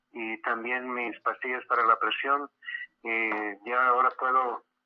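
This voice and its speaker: A man at a medium pitch, speaking at a very slow pace. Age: 70s. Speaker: patient giving testimony. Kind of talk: testimony.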